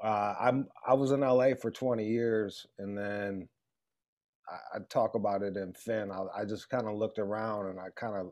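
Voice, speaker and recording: With a Detroit accent, a man speaks at a moderate pace in a fairly low voice with fairly even intonation. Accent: Detroit American. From Metro Detroit, Michigan. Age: 40s. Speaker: radio personality and author. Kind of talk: casual chat.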